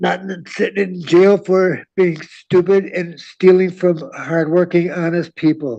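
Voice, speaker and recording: Dark, mellow in tone, the voice moves at a fairly slow pace with hardly any pauses. Its intonation stays fairly even. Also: man, high pitch for a man. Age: 60s. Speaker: defendant. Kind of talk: plea statement in court. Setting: courtroom.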